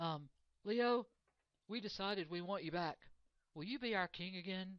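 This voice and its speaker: This is a gruff, put-on character voice. It sits at a middle pitch. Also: moderate pace. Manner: hesitant, pleading.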